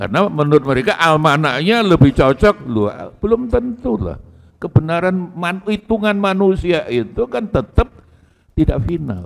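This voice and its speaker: A man speaks at a moderate pace in a high voice. His pitch swings very widely. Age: 60s. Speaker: Islamic cleric. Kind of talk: religious lecture. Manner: casual, code-switching Javanese.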